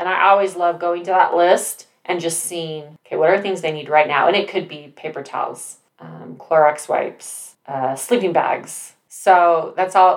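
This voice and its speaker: A normal speaking voice with an American accent, fairly slow in pace, with hardly any pauses. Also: woman, fairly low pitch for a woman. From Utah. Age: 40s. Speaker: nonprofit volunteer. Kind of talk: casual chat.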